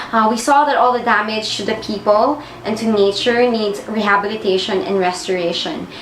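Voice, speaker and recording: A woman's fairly high voice at a moderate pace, with ordinary pitch variation, hardly any pauses, audible room echo and noticeable background noise. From Philippines, Palawan. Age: 20s. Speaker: environmental project manager. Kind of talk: personal testimony. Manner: hesitant, frequent 'um' fillers.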